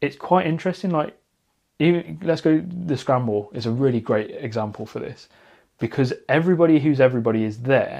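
A man speaks at a fairly quick pace with a British accent. His pitch varies in an ordinary way against a quiet background. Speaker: podcast host. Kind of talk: casual chat. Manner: loud.

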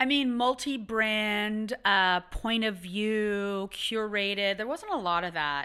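Very slow yet with hardly any pauses, a woman speaks in a bright, sharp tone on a very clean recording with a silent background. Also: fairly high pitch for a woman, ordinary pitch variation. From Ottawa, Canada. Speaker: design entrepreneur. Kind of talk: interview. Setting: studio.

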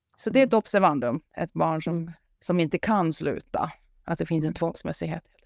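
A woman with a fairly low pitch and vocal fry speaks at a moderate pace with ordinary pitch variation and long, frequent pauses. The very clean recording has a silent background and a dry, close sound with no echo. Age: 50s. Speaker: psychologist. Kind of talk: casual chat.

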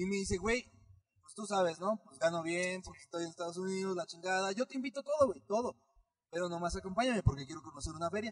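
A man's high-pitched voice rushes along at a very fast pace in an animated tone, with ordinary pitch variation and big swings in loudness, the sound dry and close with no echo. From Mexico, Michoacán. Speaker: podcast co-host. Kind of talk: casual chat.

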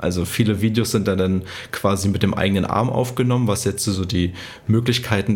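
Over noticeable background noise, a man with a fairly low voice talks at a very fast pace with fairly even intonation. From eastern Germany, Cottbus. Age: 20s. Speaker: running content creator. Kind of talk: interview. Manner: cheerful.

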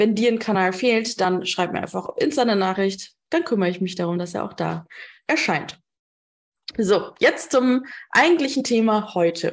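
A woman with a normal speaking voice talks at a medium pitch against a quiet background. Her intonation is lively. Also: moderate pace. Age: 30s. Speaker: business coach and podcast host. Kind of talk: live talk at an online conference. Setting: online conference talk. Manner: frequent fillers (ähm).

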